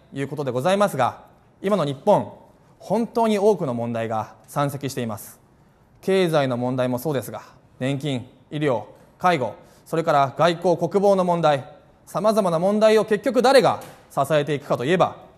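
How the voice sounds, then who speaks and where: The speech moves at a moderate pace. Its intonation is lively. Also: man. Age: 30s. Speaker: politician, parliamentary candidate; politician, candidate. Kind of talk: campaign speech. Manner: formal. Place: cafe.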